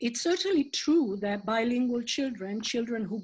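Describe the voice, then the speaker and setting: A woman with an Italian accent speaks in a fairly high, somewhat breathy voice. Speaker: professor. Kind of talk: conference Q&A answers.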